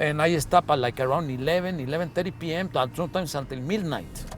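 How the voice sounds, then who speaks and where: The man talks very fast. His voice sits fairly high. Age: 60s. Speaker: cab driver. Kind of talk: documentary interview.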